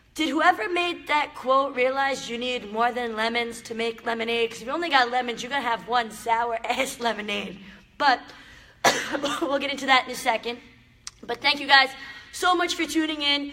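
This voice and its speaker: Against noticeable background noise, a woman talks in a high voice with ordinary pitch variation and big swings in loudness. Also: moderate pace. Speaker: motivational live streamer. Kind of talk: live stream talk to viewers. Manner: animated.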